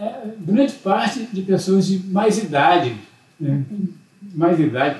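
A high-pitched man talks very slowly with lively intonation against noticeable background noise. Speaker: visiting grandfather. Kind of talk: casual chat.

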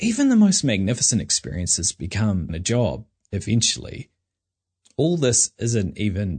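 This man has a New Zealand accent, lively intonation and a somewhat breathy voice. The sound is dry and close with no echo, over a quiet background. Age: 30s. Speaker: podcast host. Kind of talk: personal reflective monologue.

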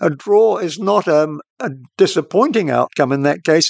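Lively intonation comes at a moderate pace in a dry, close sound with no echo against a quiet background. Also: man. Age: old. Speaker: radio host. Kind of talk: solo reflective monologue.

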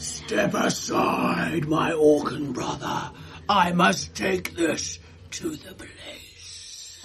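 A man's very slow put-on character voice over clear background noise. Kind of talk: mock-heroic fantasy speech. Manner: pompous, commanding.

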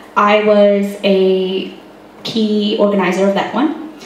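A woman talks at a medium pitch. Noticeable noise sits in the background. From India. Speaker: youth council chair. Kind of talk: public talk. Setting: cafe with live audience.

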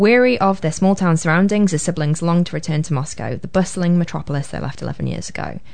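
A woman talks very fast in a fairly low voice. She has a slight Liverpool accent. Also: ordinary pitch variation. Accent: mild Liverpool (Scouse). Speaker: speech therapist. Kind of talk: casual chat. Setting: studio.

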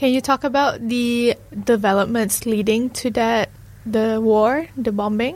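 A woman with a normal speaking voice talks at a fairly high pitch and a fairly slow pace. Her intonation is fairly even and her loudness very even. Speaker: radio host. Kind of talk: scripted narration. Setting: studio.

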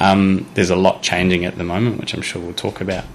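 Over noticeable background noise, a man with a very deep, low voice talks very fast with fairly even intonation. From New Zealand, Wellington. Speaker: mortgage adviser. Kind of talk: interview.

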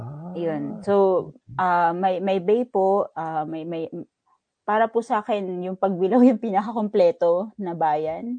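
A woman speaks at a very slow pace with medium pitch, ordinary pitch variation and a dark, mellow tone, recorded dry and close with no echo. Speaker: data manager at a research agency. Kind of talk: interview.

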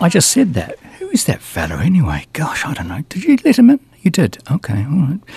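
A man with a New Zealand accent, relaxed and warm in tone, at a fairly quick pace, in a dry, close sound with no echo but noticeable background noise. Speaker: radio host. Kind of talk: radio DJ patter between songs. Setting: radio studio. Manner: chatty, rambling, quirky and playful, with hesitations and self-amused asides; relaxed, conversational and jokey, with a warm, whimsical tone.

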